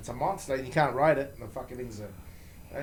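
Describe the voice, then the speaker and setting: Somewhat breathy, a man with a New Zealand accent speaks amid audible room echo. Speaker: motorcycle performance parts company founder. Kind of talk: casual interview. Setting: studio. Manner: repetitive, stammering restarts.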